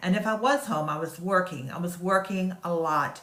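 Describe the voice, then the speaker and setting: A woman's fairly low voice with a slight Southern US accent and ordinary pitch variation, amid audible room echo and noticeable background noise. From US South. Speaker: online business marketer. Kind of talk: casual sales pitch talk to camera. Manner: hesitant, many fillers.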